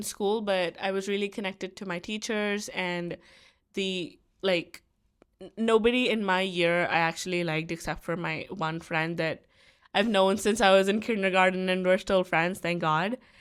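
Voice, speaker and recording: In an Indian accent, a woman talks at a moderate pace and medium pitch with fairly even intonation on a very clean recording with a silent background. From India, Delhi. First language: Hindi. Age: young. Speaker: university student. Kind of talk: casual chat. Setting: student dorm room.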